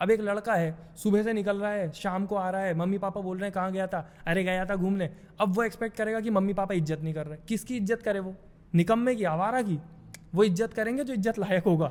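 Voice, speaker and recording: High pitch and fairly even intonation from a man. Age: 20s. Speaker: social media creator. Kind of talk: casual chat.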